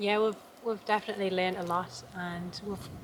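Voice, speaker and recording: In a Geordie accent, a woman talks at a medium pitch with flat, monotone intonation over noticeable background noise. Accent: Geordie, slowed down for camera. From northern England, Newcastle area. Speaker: homesteader vlogger. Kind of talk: casual vlog chat. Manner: careful articulation on camera.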